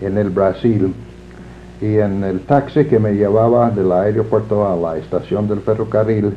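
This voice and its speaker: A man's fairly low-pitched voice, fairly slow in pace, with ordinary pitch variation. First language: English (speaking Spanish). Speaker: librarianship scholar. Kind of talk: interview. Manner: halting, many fillers.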